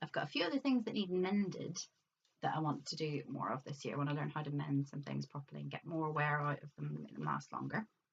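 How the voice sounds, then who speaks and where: With a Northern Irish accent, a woman talks at a very fast pace. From Northern Ireland. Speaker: crafting vlogger. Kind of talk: casual vlog show-and-tell.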